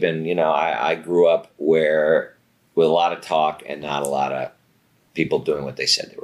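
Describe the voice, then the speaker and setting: At a moderate pace, a man with an American accent and a very deep, low pitch keeps a fairly even intonation while his loudness swings widely. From Santa Monica, California. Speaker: talent agency executive. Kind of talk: interview conversation. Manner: halting, with fillers.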